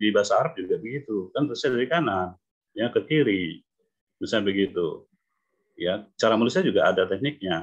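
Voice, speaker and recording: A man's fairly quick speech comes over a quiet background. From Indonesia. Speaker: English teacher; phonics teacher. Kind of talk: online lecture. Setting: video call. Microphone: video call.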